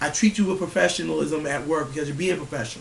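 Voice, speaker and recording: A man's fairly high voice with audible room echo and noticeable background noise. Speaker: vlogger ranting on camera. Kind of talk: angry rant to camera. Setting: at home, family sleeping. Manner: loud; animated, profane.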